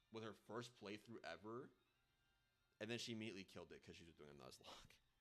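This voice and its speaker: Background music can be heard. Over it, a man talks in a fairly low voice. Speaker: video game streamer. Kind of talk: casual live stream chat. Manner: loud.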